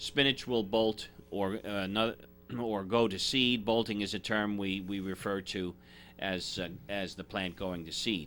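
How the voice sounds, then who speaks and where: A man's fairly low voice with a bright, sharp tone at a fairly slow pace, in a very clean recording with a silent background. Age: 60s. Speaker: gardening expert. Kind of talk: radio gardening advice chat. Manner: halting, many fillers and repetitions.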